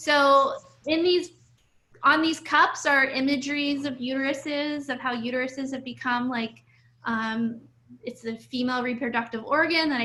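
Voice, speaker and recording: A raised, projected voice speaks in an American accent. Its intonation is fairly even. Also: woman. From Ohio and New York City, US. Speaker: artist. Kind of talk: conversation.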